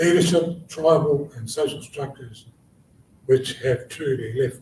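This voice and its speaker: A somewhat breathy voice at a moderate pace. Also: man. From New Zealand (Taranaki, Māori). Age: 70s. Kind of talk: conference panel talk.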